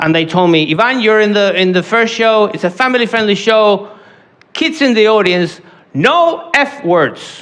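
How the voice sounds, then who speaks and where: Speaking at a fairly slow pace with a non-native accent, a man uses lively intonation. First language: not English. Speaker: stand-up comedian. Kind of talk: stand-up. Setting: stage with audience.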